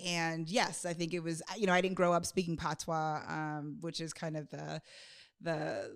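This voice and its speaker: A woman with an American accent has a plain, everyday voice. Her pitch sits fairly low and her intonation stays fairly even. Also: moderate pace. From US Northeast. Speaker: podcast co-host. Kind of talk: casual chat.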